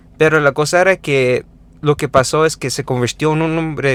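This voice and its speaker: With a non-native accent, a man is talking. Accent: non-native Spanish, self-described. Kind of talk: informal Bible teaching with scripture reading. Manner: halting, many fillers and self-corrections.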